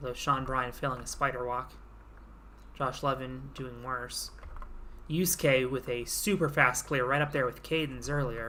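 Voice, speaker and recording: A woman's very deep, low voice with vocal fry and a bright, sharp tone, at a moderate pace with fairly even intonation. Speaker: simulated league commentator. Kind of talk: play-by-play commentary.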